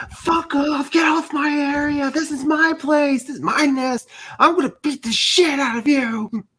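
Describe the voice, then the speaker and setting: Shouting in a put-on character voice pitched extremely high, a man speaks at a moderate pace. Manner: yelling, aggressive.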